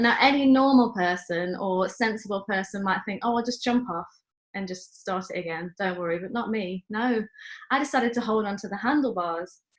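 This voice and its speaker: Her pitch is medium and varies in a normal way. The woman's voice carries a somewhat breathy quality. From England, Stoke-on-Trent. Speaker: church member, show guest. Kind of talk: anecdote in casual chat.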